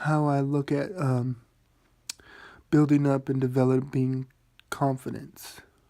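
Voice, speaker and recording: Quiet and fairly high-pitched, a man talks at a fairly slow pace in a monotone, flat delivery, keeping his loudness very even and pausing often and at length. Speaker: vlogger. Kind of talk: casual monologue. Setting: at home at night.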